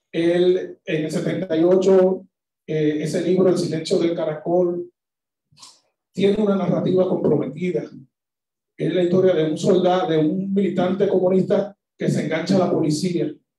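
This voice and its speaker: A dark, mellow tone delivers fairly slow, monotone speech with flat intonation and audible room echo. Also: man, high pitch for a man. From Dominican Republic. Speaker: short story writer; conference speaker. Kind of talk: talk; lecture. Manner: halting. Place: hall.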